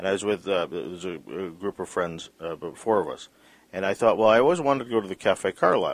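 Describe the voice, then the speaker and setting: An ordinary speaking voice from a man, fairly low in pitch, at a fairly quick pace. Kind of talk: interview.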